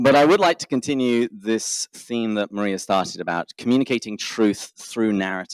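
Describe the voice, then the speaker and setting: In a dry, close sound with no echo, a man with an English accent speaks at a moderate pace and medium pitch, with ordinary pitch variation and hardly any pauses. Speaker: podcaster. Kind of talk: conference talk.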